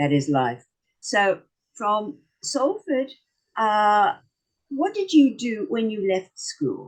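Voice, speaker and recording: A woman with a strong South African accent talks at a very slow pace, leaving long, frequent pauses. Her fairly high voice moves in very wide pitch swings. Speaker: talk show host. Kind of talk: casual interview.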